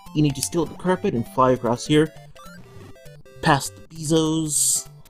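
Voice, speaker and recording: Music plays in the background. The pace of speech is moderate. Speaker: let's play gamer. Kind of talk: casual gameplay commentary. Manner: somewhat halting, stuttered.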